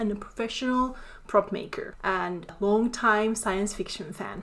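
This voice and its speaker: At a moderate pace, a woman speaks in a fairly high pitch, with audible room echo. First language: Finnish. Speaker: artist and prop maker. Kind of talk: educational talk. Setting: home office. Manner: freeform, unscripted.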